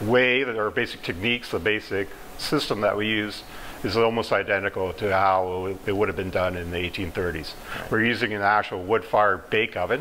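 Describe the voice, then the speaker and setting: Over light background noise, a man speaks in a fairly low voice with fairly even intonation. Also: moderate pace. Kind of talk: interview answer. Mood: calm, friendly explanation. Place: kitchen.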